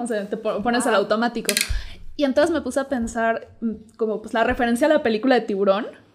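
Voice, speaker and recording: A woman speaks at a very fast pace in a Mexican accent. Her pitch is high, with ordinary pitch variation. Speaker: podcast co-host. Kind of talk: casual chat.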